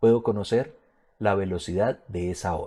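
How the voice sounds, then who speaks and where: A dark, mellow tone at a moderate pace, on a very clean recording with a silent background. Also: man. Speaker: physics teacher. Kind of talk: lecture. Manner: casual, colloquial.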